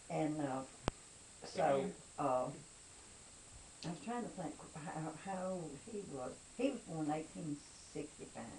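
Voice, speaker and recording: Delivered at a fairly slow pace with long, frequent pauses, the voice has lively intonation amid noticeable background noise and audible room echo. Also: woman, very deep, low pitch for a woman. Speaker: family history interviewee. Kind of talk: oral history interview. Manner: halting.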